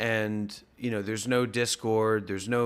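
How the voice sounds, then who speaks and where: Monotone, flat intonation at a fairly slow pace. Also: man. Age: 30s. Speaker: meditation teacher, former monk. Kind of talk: casual chat. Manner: halting, many fillers.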